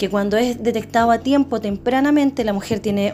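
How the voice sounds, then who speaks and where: The intonation is lively, with noticeable background noise behind it. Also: woman. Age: 40s. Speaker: podcast host, breast cancer survivor. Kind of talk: casual interview. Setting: office.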